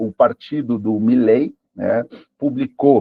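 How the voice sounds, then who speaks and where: Man at a very slow pace, with ordinary pitch variation. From Peru. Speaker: live presenter on AI. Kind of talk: online lecture. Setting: live stream. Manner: hesitant, many fillers.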